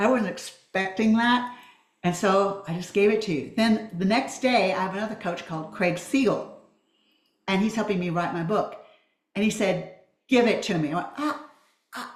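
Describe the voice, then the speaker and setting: A woman with a medium pitch speaks at a moderate pace with ordinary pitch variation. Her long, frequent pauses sit within audible room echo. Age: 70s. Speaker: public speaking student. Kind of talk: group video call reflection.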